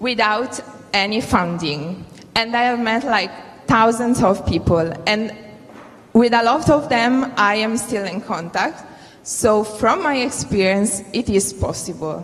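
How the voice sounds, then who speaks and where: A woman's fairly high voice with an Italian accent and ordinary pitch variation, fairly slow, with audible room echo and noticeable background noise. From Italy. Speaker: youth delegate. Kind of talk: Q&A answer at conference.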